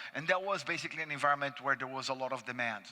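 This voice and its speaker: Man with a fairly high pitch, ordinary pitch variation, and a Brazilian accent. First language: Portuguese. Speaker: panelist, investment analyst. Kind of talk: conference panel presentation. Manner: frequent fillers and restarts.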